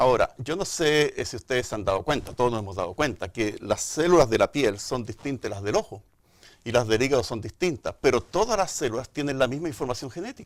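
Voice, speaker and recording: A man with a Chilean accent talks very fast at a medium pitch with very wide pitch swings, on a very clean recording with a silent background. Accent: Chilean, marked. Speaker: microbiology and genetics professor. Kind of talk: TV interview explanation. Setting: studio.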